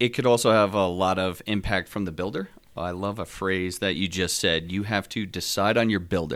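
On a very clean recording with a silent background, a man speaks at a moderate pace in a plain, everyday voice with a fairly low pitch. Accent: American. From Northeast New Jersey. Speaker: home builder. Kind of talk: podcast interview.

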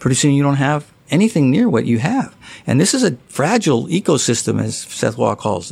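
A man with an American accent speaks at a fairly quick pace in a fairly high pitch, his voice swinging very widely in pitch and dropping into vocal fry. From US West Coast. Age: 60s. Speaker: golf writer. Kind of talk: casual interview.

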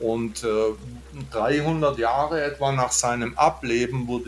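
A somewhat breathy voice at a very slow pace with lively intonation. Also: man. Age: 50s. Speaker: Buddhist monk and podcaster. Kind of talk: casual interview conversation. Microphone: good audio setup.

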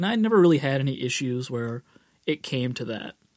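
A man with a plain, everyday voice talks at a moderate pace, his fairly high pitch carried by lively intonation. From Boston. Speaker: rock guitarist and record producer. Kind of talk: casual interview.

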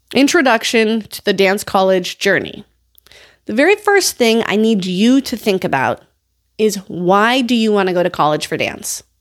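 An ordinary speaking voice from a woman with an American accent, fairly high in pitch, with lively intonation at a moderate pace, on a very clean recording with a silent background. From US, North Dakota. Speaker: podcast host, dance educator. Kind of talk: casual advice podcast.

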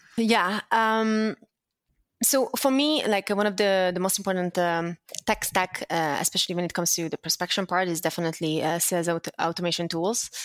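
A woman with a slight Hungarian accent, medium pitch and ordinary pitch variation at a moderate pace, in a very clean, dry, close recording with no echo and a silent background. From Hungary. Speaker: sales development leader. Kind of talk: interview. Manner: halting, many fillers.

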